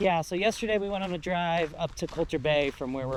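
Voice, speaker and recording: A man talking at a very fast clip with ordinary pitch variation, over noticeable background noise. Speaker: travel vlogger. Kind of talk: casual vlog chat while hiking. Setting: outdoors on a hiking trail.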